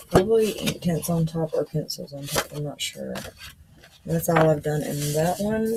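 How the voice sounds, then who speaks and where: Amid noticeable background noise, a woman with a fairly low pitch and ordinary pitch variation talks at a moderate pace. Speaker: coloring hobbyist YouTuber. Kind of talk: casual show-and-tell vlog. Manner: casual, with fillers.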